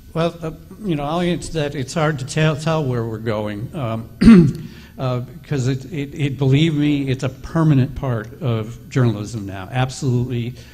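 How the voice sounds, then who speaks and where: A plain, everyday voice: a man of medium pitch at a moderate pace. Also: ordinary pitch variation. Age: 60s. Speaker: investigative reporter. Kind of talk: panel discussion.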